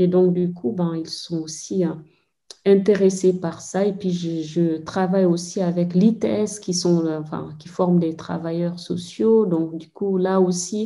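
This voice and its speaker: Speaking at a very slow pace, a woman has a fairly low pitch and a dark, mellow tone with fairly even intonation. She talks in a Senegalese accent, and audible room echo fills the recording. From Guinea, Fouta Djallon (Mamou). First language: Pulaar (speaking French). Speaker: anthropologist. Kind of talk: interview. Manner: hesitant, many fillers.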